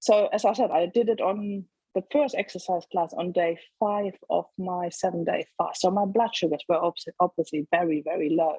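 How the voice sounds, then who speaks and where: A woman speaks at a moderate pace with a medium pitch. Her tone is dark and mellow, with ordinary pitch variation. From Germany. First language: German. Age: 40s. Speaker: teaching assistant sharing diabetes reversal story. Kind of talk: casual interview chat.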